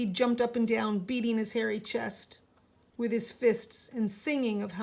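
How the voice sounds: The reading voice is natural, and its intonation stays fairly even.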